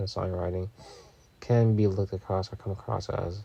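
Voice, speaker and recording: Somewhat breathy and dark, mellow in tone, a man's voice moves at a moderate pace with monotone, flat intonation. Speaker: music reviewer. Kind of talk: album review. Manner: casual.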